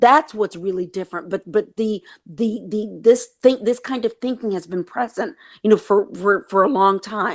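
A woman with an American accent and a plain, everyday voice speaks at a fairly slow pace in a medium pitch with ordinary pitch variation, on a very clean recording with a silent background. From East Texas, US. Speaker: novelist and TV screenwriter. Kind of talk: interview.

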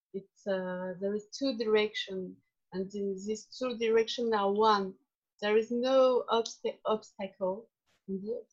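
Speaking fairly slowly with a non-native accent, a woman keeps a fairly high pitch and fairly even intonation. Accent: charming foreign. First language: not English. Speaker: workshop participant. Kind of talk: group discussion. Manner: halting.

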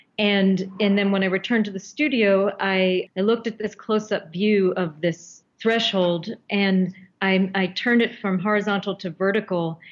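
At a moderate pace, a woman with an American accent and an ordinary speaking voice talks at a medium pitch with fairly even intonation. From US, Baltimore. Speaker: artist. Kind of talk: interview.

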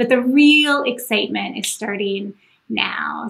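A woman with an American accent speaks at a moderate pace in a high voice. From US South, Kentucky. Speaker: planetary scientist. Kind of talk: onstage interview. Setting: festival stage.

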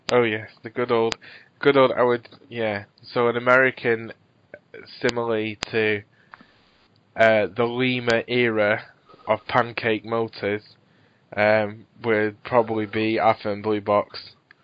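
In a Scottish accent, a man speaks fairly slowly at a medium pitch, his intonation flat and monotone, with long, frequent pauses. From Scotland. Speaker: podcast host. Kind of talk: casual interview.

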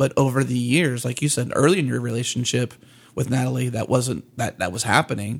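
A somewhat breathy man speaks at a fairly quick pace with a medium pitch. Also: ordinary pitch variation. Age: 30s. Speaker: podcast co-host. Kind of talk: casual chat.

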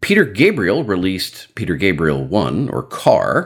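Speaking at a very slow pace, a man's voice carries vocal fry. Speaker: podcast host. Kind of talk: casual chat.

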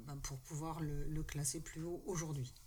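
A woman's voice carries audible room echo. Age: 60s. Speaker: retired social worker and former activist. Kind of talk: casual panel discussion. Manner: hesitant.

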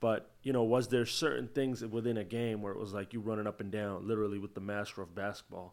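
A man talks in a plain, everyday voice, pitched fairly low with ordinary pitch variation. His pace is fairly quick, and the recording is very clean with a silent background. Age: 20s. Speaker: podcast host. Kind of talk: casual chat.

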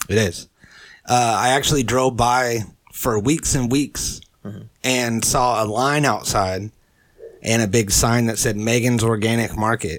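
In a normal speaking voice, a man talks at a fairly slow pace with fairly even intonation and a medium pitch. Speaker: podcast host. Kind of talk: casual chat. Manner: casual, profane, joking.

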